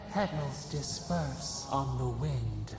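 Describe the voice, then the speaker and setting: A put-on character voice with clear echo and loud background noise. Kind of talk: poetic fantasy incantation. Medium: video game. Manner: cryptic, poetic, speaks as a collective "we".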